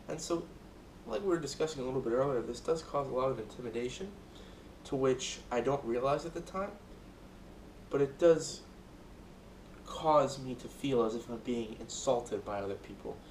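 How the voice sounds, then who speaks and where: A man's medium-pitched voice at a moderate pace, with ordinary pitch variation and long, frequent pauses. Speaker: student. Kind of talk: speech rehearsal. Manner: loud.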